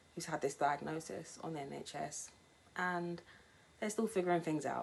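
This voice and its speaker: The speech moves at a moderate pace, with fairly even intonation and vocal fry. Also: woman. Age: 20s. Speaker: cancer patient. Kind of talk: testimony. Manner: scripted reading.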